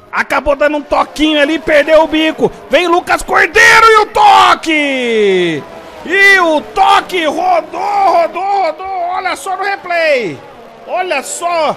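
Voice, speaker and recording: Over crowd noise, a man shouts at a very slow pace in an extremely high pitch. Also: ordinary pitch variation. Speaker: sim racing commentator. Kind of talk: live race commentary, call of a virtual motorsport race. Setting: livestream broadcast. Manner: loud, hyped, shouting encouragement at the drivers.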